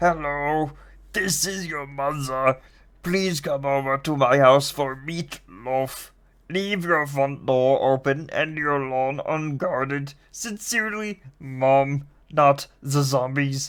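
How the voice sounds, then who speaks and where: A put-on character voice at a low-to-middle pitch and very slow pace, in a very clean recording with a silent background. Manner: odd, put-on.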